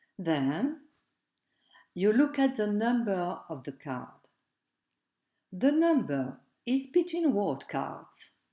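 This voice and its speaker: Pausing long and often at a very slow pace, a woman with a dark, mellow, fairly high-pitched voice makes very wide pitch swings on a very clean recording with a silent background. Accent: French. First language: French. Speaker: tarot teacher. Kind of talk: tutorial. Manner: halting, non-fluent English.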